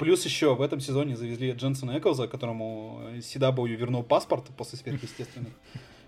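At a very fast pace, a man speaks at medium pitch in a somewhat breathy voice, with big swings in loudness. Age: 20s. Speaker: podcast host. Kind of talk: casual chat. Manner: animated.

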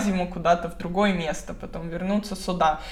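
Audible room echo surrounds a woman speaking in a medium pitch. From Moscow, Russia. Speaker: blogger and relocation consultant. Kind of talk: casual interview. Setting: online video call.

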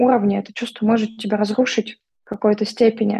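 A woman talks at a very fast pace in a fairly high pitch, with monotone, flat intonation. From Vladivostok, Russian Far East. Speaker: psychologist and therapist. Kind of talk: casual interview chat.

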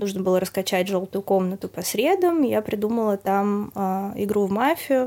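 At a moderate pace and medium pitch, a woman talks with hardly any pauses and ordinary pitch variation. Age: 20s. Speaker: restaurant PR specialist. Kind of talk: casual chat.

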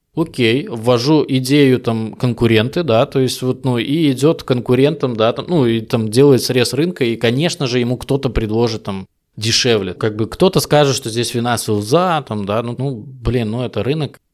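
Heard on a very clean recording with a silent background, a man has a plain, everyday voice at medium pitch, moderate pace and ordinary pitch variation. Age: 30s. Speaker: B2B salesperson. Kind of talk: casual interview chat.

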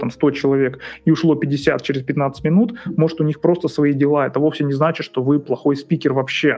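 Noticeable background noise behind a man with a fairly high pitch and a fairly quick pace. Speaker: psychologist. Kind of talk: casual monologue. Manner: relaxed.

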